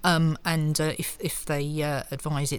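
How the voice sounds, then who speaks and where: A woman's very deep, low pitch in a monotone, flat intonation. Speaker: fraud prevention director. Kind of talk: interview.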